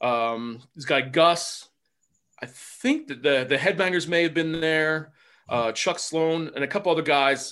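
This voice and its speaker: A man with a New Jersey accent, his voice fairly high-pitched and bright and sharp, with ordinary pitch variation at a fairly slow pace over a quiet background. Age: 50s. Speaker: former pro wrestler. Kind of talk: casual interview.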